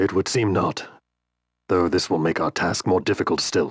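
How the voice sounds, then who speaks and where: In a put-on character voice, a man speaks at a moderate pace with a very deep, low pitch and very even loudness, the sound dry and close with no echo. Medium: fan dub. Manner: terse, grave.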